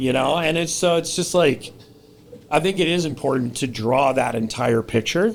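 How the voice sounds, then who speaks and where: A man's fairly high voice moves at a moderate speed with lively intonation while noticeable background noise carries on. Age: 30s. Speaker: podcast host. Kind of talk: casual chat. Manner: animated.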